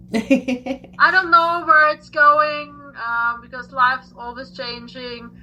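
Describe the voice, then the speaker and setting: A woman with an Austrian accent uses a raised, projected voice, high in pitch, with ordinary pitch variation. She speaks at a very slow pace with big swings in loudness. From Austria, Vienna. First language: German. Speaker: tarot reader and English teacher. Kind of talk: casual chat.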